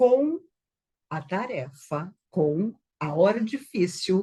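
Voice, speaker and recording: Somewhat breathy, a woman's medium-pitched voice has a dark, mellow tone and very wide pitch swings. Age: 60s. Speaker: spiritist speaker. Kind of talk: talk.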